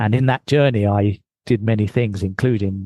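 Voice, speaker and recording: A man speaks with fairly low pitch and a dark, mellow tone. The sound is dry and close, with no echo. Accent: British. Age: 60s. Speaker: mindfulness teacher and marathon fundraiser. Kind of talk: interview.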